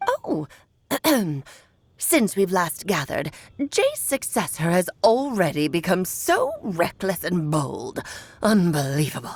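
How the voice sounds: Using a put-on character voice, a woman speaks at medium pitch and a fairly slow pace. She leaves long, frequent pauses.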